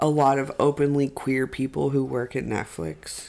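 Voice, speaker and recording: This is a man's voice. His pitch is fairly high. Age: 20s. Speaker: podcast co-host. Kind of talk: casual chat. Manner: animated.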